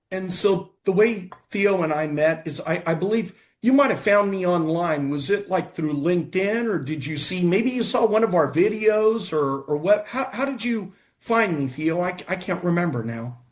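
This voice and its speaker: With an American accent, a man speaks in a high voice with lively intonation and hardly any pauses. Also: moderate pace. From United States. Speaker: futurist and investment fund manager. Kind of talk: casual show conversation.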